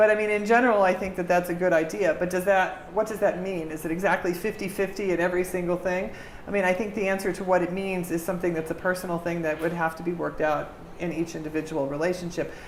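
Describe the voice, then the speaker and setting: Speaking at a very fast pace, a woman keeps a medium pitch and fairly even intonation. Noticeable background noise and audible room echo fill the recording. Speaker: diplomat. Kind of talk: interview. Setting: audience of students.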